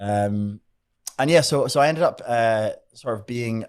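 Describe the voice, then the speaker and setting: The very clean recording, with a silent background, captures a man at medium pitch speaking at a moderate pace with ordinary pitch variation. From Scotland, Edinburgh. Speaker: magician. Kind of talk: podcast interview. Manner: halting, many fillers and repeats.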